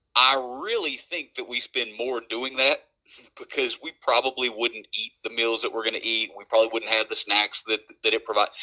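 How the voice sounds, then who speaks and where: The man talks in an Appalachian accent at a moderate pace. The sound is dry and close with no echo. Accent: Appalachian American English. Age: 30s. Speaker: podcast co-host. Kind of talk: casual chat.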